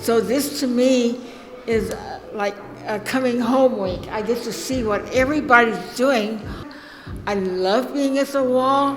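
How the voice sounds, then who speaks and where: With audible room echo and music in the background, a woman speaks at a high pitch and a fairly slow pace. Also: ordinary pitch variation. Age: 80s+. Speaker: painter. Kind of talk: casual interview at art opening. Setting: gallery opening reception.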